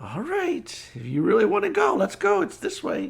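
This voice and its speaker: A man performs a cartoonish character voice. It is high-pitched and delivered at a moderate pace. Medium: puppet show. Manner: nervous, reluctant.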